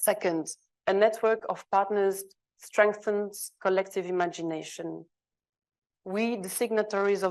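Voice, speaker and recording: Against a quiet background, a woman speaks in a monotone, flat delivery with a Flemish Belgian accent. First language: Dutch. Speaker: arts organisation specialist, conference panelist. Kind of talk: reading aloud a co-signed open letter at a conference panel. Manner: hesitant, with fillers and self-corrections.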